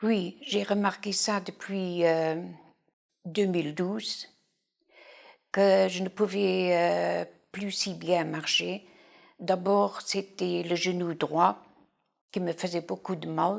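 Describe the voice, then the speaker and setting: Speaking very slowly, a woman with a fairly low pitch uses ordinary pitch variation and takes long, frequent pauses. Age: 60s. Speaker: patient. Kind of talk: testimony. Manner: halting.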